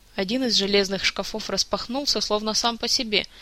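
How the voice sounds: The clip has a natural reading voice.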